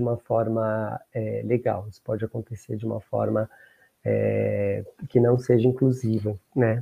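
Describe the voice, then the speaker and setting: Speaking at a medium pitch and a fairly slow pace, the man keeps a monotone, flat intonation. His delivery stays level throughout. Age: 60s. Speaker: diversity program coordinator. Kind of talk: panel discussion.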